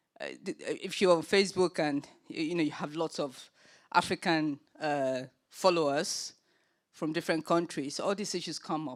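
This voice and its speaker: Spoken with a Nigerian accent at a moderate pace, the voice keeps a fairly even intonation while its loudness rises and falls sharply. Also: woman, fairly low pitch for a woman. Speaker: panel chair, children's charity founder. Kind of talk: panel discussion. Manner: hesitant, many fillers.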